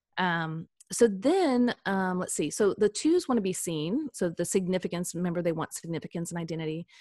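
A woman with an American accent speaks at a fairly quick pace in a dark, mellow tone. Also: medium pitch for a woman, ordinary pitch variation, dry, close sound with no echo, very clean recording, silent background. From US Midwest, Kansas City. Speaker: personality coach. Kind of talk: casual interview.

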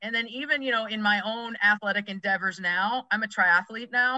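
Speaking with an American accent in a normal speaking voice, a woman goes at a fairly quick pace with a fairly high pitch. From Massachusetts, US. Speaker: youth sports coach, former college athlete. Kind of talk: podcast interview.

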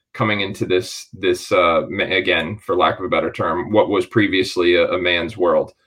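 An ordinary speaking voice at a moderate pace. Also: man. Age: 40s. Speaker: basketball podcast host. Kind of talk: interview.

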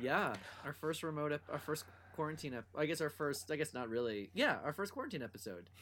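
Vocal fry runs through a man's voice as he speaks at a fairly quick pace. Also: fairly high pitch for a man, lively intonation, very clean recording, silent background. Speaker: podcast co-host. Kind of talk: casual chat.

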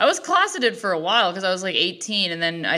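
A woman speaks loud with a bright, sharp tone. She has a Midwestern US accent. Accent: US Midwest. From Ohio, Cleveland. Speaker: comedian. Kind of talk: casual chat.

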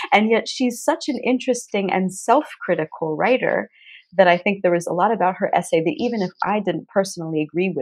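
With an American accent, a woman of medium pitch speaks in an unremarkable speaking voice with lively intonation against a quiet background. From United States. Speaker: literary translator and poet. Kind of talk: interview.

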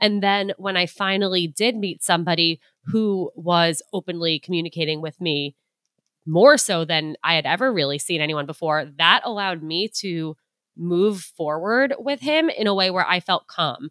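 A normal speaking voice from a woman, moderate in pace, fairly low-pitched, with ordinary pitch variation. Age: 20s. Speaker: dating advice guest. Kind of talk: casual interview chat.

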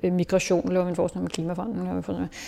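This woman's voice sits at a medium pitch and has a dark, mellow tone. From Denmark, Hillerød north of Copenhagen. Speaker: theatre director. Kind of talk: interview. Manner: halting, many fillers and repetitions.

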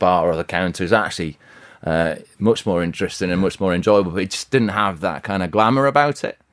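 Speaking at a fairly quick pace with ordinary pitch variation, a man with a West Yorkshire accent is heard on a very clean recording with a silent background. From Yorkshire, Bradford/Halifax. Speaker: restaurant co-founder. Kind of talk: interview. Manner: halting.

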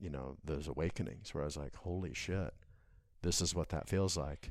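Speaking at a moderate pace, a man has a very deep, low pitch with ordinary pitch variation. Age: 40s. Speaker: life coach. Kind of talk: casual chat. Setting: home studio. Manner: halting.

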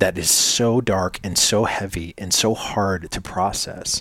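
A man with an ordinary speaking voice and an American accent talks at a fairly slow pace, his fairly low pitch showing ordinary variation. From US, New Hampshire. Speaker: podcast co-host and speaker. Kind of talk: casual chat.

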